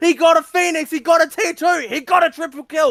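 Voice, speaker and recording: Shouting in a raised, projected voice, a man reaches an extremely high pitch. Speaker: esports play-by-play caster. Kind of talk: live commentary. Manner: fast; loud, yelling with excitement.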